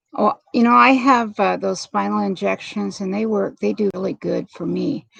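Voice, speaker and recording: A woman at a fairly slow pace, with a dry, close sound and no echo. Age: 60s. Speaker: livestream host for chronic pain support. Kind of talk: casual livestream chat.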